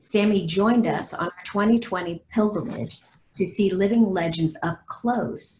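A somewhat breathy voice with ordinary pitch variation is heard over light background noise. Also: woman. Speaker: nonprofit president and moderator. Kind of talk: webcast moderation. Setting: video call. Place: home room. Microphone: video call.

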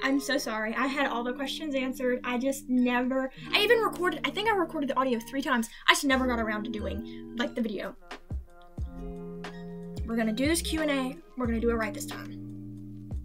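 Clear music plays in the background. The speech moves at a fairly quick pace. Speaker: digital artist and animator. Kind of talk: casual Q&A talk. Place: home room. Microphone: webcam.

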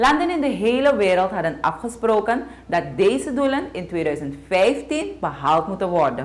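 With vocal fry and very wide pitch swings, the voice moves at a fairly slow pace. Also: woman. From Suriname. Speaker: news presenter. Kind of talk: news reading. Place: studio.

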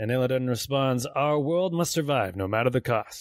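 The voice reads aloud in a natural way.

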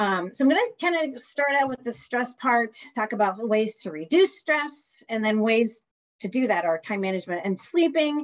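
A woman with an unremarkable speaking voice talks at a moderate pace, her fairly high pitch moving in lively intonation over a quiet background. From US Midwest. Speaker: community college professor. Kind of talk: lecture. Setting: video call. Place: home room. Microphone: webcam.

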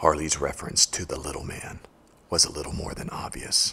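Putting on a raspy character voice, a man speaks at a moderate pace in a menacing tone. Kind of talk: hard-boiled voice-over. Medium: short film. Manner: grim, menacing, terse.

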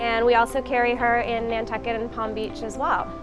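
A woman talks at a fairly quick pace while music plays clearly in the background. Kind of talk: interview answer. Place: shop.

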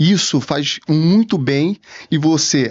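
A man's fairly high-pitched voice with ordinary pitch variation, over a quiet background. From Rio de Janeiro, Brazil. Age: 30s. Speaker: entrepreneur; podcast guest. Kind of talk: interview conversation. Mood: reflective, storytelling. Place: studio. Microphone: studio mic.

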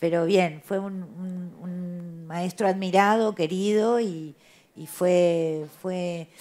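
This woman's voice sits fairly low, with a dark, mellow tone, a very slow pace and fairly even intonation. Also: big swings in loudness. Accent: Uruguayan. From Uruguay, Montevideo. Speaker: playwright and theatre director. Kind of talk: interview.

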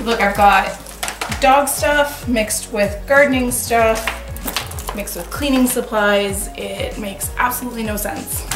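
Ordinary pitch variation at a moderate pace, with light background noise and audible room echo. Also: woman. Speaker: home organizing vlogger. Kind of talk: casual vlog chat. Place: garage. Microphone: camera far.

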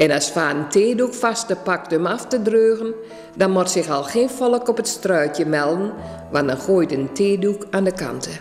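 Faint music plays behind a woman who speaks very slowly with lively intonation. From Achterhoek, eastern Netherlands. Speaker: dialect author and reciter. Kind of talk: dialect story reading. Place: home room. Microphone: studio mic.

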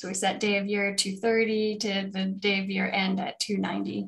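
Fairly even intonation in a woman's somewhat breathy voice. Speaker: course instructor. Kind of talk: tutorial. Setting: video call. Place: home room. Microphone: webcam.

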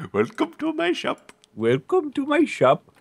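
A man puts on a character voice. He talks at a moderate pace. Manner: welcoming, theatrical.

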